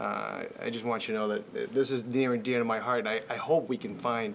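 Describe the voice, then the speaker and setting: Noticeable background noise fills the recording. A man talks at a fairly quick pace. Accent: American. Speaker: school committee member. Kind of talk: public forum remarks. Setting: public forum with audience. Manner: halting, many fillers.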